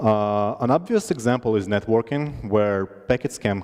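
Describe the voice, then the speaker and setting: With a Russian accent, a man talks at a moderate pace in a fairly low pitch with ordinary pitch variation. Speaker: conference speaker. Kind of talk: tech talk. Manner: halting.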